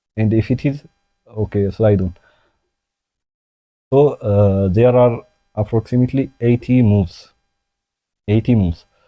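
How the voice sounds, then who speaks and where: Against a quiet background, a man with a non-native accent and a dark, mellow tone speaks at a medium pitch and fairly slow pace, with ordinary pitch variation and long, frequent pauses. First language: not English. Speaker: chess and science youtuber. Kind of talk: unscripted tutorial. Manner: halting, many fillers.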